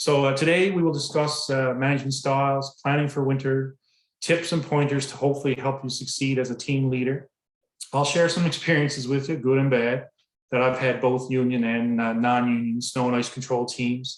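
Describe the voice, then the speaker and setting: A man with a Newfoundland accent, medium pitch, fairly even intonation and a moderate pace. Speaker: public works director. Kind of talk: presentation. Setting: online presentation.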